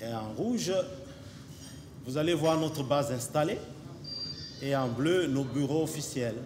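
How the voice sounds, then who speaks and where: Amid noticeable background noise and audible room echo, a man speaks at a fairly high pitch with ordinary pitch variation. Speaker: company representative. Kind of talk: conference presentation. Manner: hesitant, many fillers.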